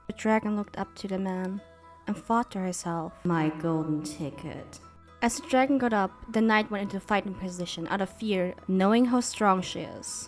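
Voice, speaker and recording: Music plays behind a woman whose pitch varies in an ordinary way. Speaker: VTuber storyteller. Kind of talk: storytelling, comfort ASMR roleplay. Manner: storyteller narration.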